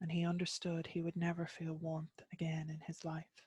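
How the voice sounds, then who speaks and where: In a dry, close recording with no echo, a woman with an Irish accent speaks fairly slowly at a fairly low pitch, somewhat breathy and in a monotone, flat intonation. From Ireland. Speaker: storyteller. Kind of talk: myth storytelling reading.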